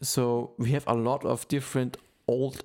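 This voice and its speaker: A man at a fairly slow pace and medium pitch, in an unremarkable speaking voice. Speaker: podcast host. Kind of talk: casual chat.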